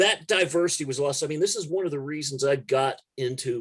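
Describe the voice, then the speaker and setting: Somewhat breathy, a man with an American accent talks at a moderate pace with a fairly high pitch. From Texas (Corpus Christi area). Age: 50s. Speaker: music journalist and punk musician. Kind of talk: casual interview conversation.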